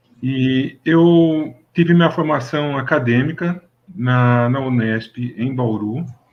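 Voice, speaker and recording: This man's pitch is medium and varies in an ordinary way. His pace is very slow. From interior of São Paulo state, Brazil. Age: 60s. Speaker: mechanical engineer. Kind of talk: interview. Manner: halting, many fillers.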